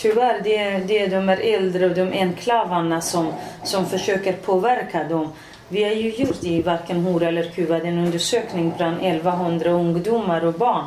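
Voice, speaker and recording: Noticeable background noise and audible room echo fill this recording of a woman at a medium pitch. She keeps a moderate pace, fairly even intonation and very even loudness. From Iranian Kurdistan. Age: 40s. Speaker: politician. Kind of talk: casual chat. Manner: halting.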